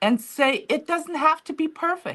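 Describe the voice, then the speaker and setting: Lively intonation marks the speech of a woman with a non-native accent. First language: not English. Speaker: author and museum founder. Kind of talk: interview. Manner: halting.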